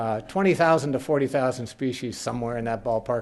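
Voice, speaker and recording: A man with an American accent at a very fast pace, medium in pitch, with ordinary pitch variation and noticeable background noise. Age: 60s. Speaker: naturalist and author. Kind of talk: lecture. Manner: casual, humorous presentation with hesitations.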